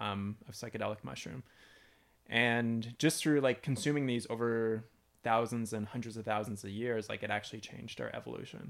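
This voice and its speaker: A man with a Canadian accent speaks in a plain, everyday voice at a medium pitch and moderate pace. His intonation is fairly even, and the recording is very clean with a silent background. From London, Ontario, Canada. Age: 30s. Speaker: YouTuber and homesteader. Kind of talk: casual interview.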